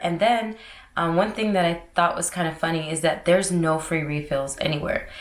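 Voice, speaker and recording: A woman with an American accent speaks in a bubbly tone at a moderate pace, her fairly low pitch set against noticeable background noise and audible room echo. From Florida, US (St. Pete / Tampa). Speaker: lifestyle vlogger. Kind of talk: casual vlog talk. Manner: loud.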